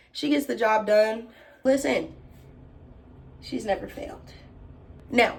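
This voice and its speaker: Speaking in an American accent with an animated tone and vocal fry, a woman at a fairly high pitch leaves long, frequent pauses, with big swings in loudness and audible room echo. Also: ordinary pitch variation. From Texas. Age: 20s. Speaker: YouTuber / lifestyle vlogger. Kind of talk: casual vlog talk to camera. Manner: fast.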